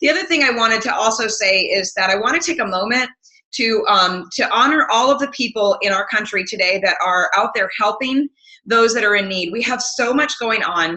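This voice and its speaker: At a fairly quick pace, a woman with an American accent speaks at fairly high pitch with lively intonation. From US Midwest. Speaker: health coach trainer. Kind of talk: webinar presentation. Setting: online webinar. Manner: fast.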